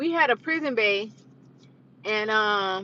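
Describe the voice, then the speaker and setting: A woman speaks in a bright, sharp, animated tone at a fairly high pitch. Her pitch swings very widely. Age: 30s. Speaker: vlogger. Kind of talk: casual chat. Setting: live stream.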